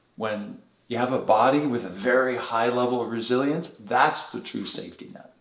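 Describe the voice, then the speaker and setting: A man talks at medium pitch and a moderate pace with ordinary pitch variation. His loudness swings widely, and audible room echo is present. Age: 60s. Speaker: chiropractor and technique director. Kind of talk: interview.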